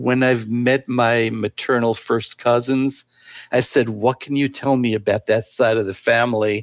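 A man talks at a fairly slow pace and medium pitch. His intonation is monotone and flat. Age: 70s. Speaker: adoptee writing a family history book. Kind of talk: interview, storytelling.

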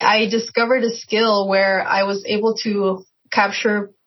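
The voice is somewhat breathy. Its intonation stays flat and monotone. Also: woman. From Mexico. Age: 30s. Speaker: illustrator and web comic author. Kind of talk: interview.

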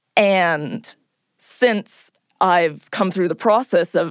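A woman with an American accent talks at a very slow pace and a medium pitch. The recording is very clean with a silent background and a dry, close sound with no echo. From California. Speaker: podcast producer. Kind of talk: reflective interview.

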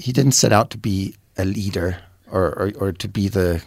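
With a German accent, a man talks at a fairly low pitch and fairly even intonation on a very clean recording with a silent background. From Germany. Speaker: youth soccer coach. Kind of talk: panel discussion. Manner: halting, repeats words.

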